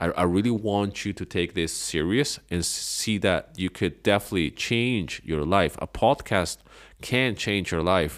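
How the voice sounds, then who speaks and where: A man with a non-native accent speaks at a fairly slow pace with a fairly low pitch and ordinary pitch variation. The recording is very clean with a silent background. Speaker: podcast host and online business coach. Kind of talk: solo podcast talk giving advice. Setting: home living room. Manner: casual, many fillers and repetitions.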